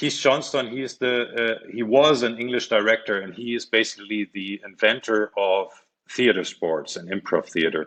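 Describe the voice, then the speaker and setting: A man speaks with a German accent. His pitch is medium with ordinary variation. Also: moderate pace. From Germany. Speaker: magician and comedian. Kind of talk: interview. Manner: halting, many fillers; animated.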